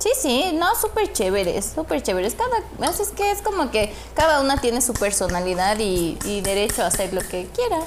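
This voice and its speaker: A woman's high-pitched voice with very wide pitch swings, a moderate pace, hardly any pauses and noticeable background noise. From Ecuador, Ambato. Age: 30s. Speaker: makeup studio owner. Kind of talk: casual chat.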